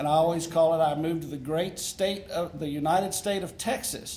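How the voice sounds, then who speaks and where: A man talks in a high-pitched voice at a moderate pace. Audible room echo surrounds him. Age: 60s. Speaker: congressional candidate. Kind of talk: campaign speech at candidate forum. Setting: forum with live audience.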